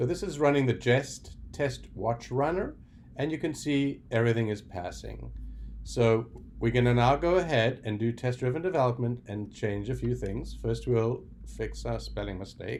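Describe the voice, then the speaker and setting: With light background noise, a man in a South African accent talks at a moderate pace. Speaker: software developer. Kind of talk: tutorial. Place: home room. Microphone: webcam.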